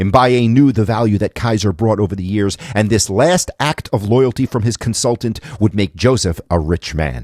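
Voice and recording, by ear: Someone reads aloud in a natural voice, the pitch shifting in an ordinary way.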